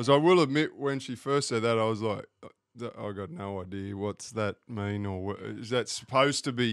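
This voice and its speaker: A man's medium-pitched voice in an Australian accent, at a moderate pace with ordinary pitch variation, on a very clean recording with a silent background. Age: 40s. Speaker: podcast guest. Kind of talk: casual chat.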